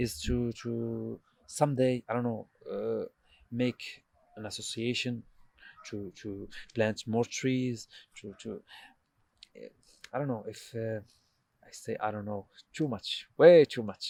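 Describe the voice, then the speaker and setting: A man with an Arabic accent at a fairly slow pace, big swings in loudness, long, frequent pauses, and a dry, close sound with no echo. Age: 20s. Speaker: doctor. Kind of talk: casual chat. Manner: halting.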